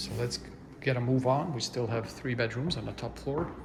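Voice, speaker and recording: A soft-spoken man at medium pitch, with noticeable background noise. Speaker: real estate agent giving virtual house tours. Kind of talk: ASMR house tour narration.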